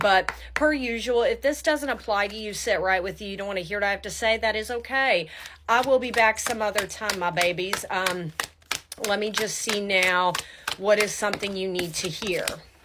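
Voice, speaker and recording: Speech at a moderate pace with ordinary pitch variation comes through noticeable background noise. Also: woman, medium pitch for a woman. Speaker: tarot reader. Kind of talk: tarot reading to camera. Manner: casual, warm.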